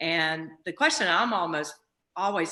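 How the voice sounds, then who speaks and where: In an American accent, a woman with a very deep, low pitch speaks at a moderate pace. Her tone is bright and sharp, with ordinary pitch variation. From southern Virginia, US. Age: 60s. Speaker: racetrack owner and CEO. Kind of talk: casual storytelling on video call. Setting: video call.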